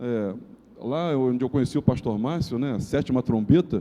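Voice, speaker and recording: Dark and mellow in tone, a man speaks fairly quickly with lively intonation. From Brazil, Rio de Janeiro. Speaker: pastor. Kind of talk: sermon. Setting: church. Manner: fast.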